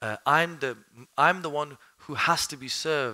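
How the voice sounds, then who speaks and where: A man with a Birmingham accent, fairly high-pitched, bright and sharp in tone, at a moderate pace, on a very clean recording with a silent background. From Birmingham, UK. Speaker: Islamic studies teacher. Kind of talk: mosque lecture to a live audience. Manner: conversational, asks the audience questions.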